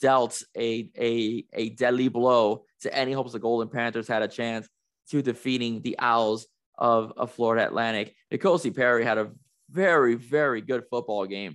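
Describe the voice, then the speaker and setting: A man talks at a moderate pace in a medium pitch. The background is quiet. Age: 40s. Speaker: sports podcast host. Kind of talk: solo sports commentary podcast. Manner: animated.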